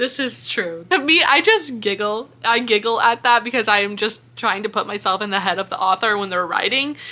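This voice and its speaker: A woman with a fairly high pitch and ordinary pitch variation talks at a fairly quick pace with hardly any pauses, in an animated tone. Background noise is noticeable. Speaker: book content creator. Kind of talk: casual chat reacting to comments.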